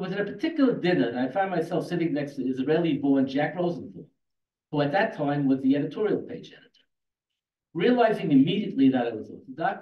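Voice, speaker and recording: Speaking very fast with lively intonation, a man with a fairly high pitch is heard in audible room echo. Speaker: debater, retired newspaper employee. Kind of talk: formal debate. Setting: stage with audience. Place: hall.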